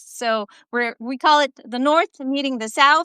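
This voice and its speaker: In a French Canadian accent, a woman talks at a fairly slow pace in a raised, projected, high-pitched voice with a bright, sharp tone and a dry, close sound with no echo. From Quebec, Canada. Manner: hesitant, many filler sounds.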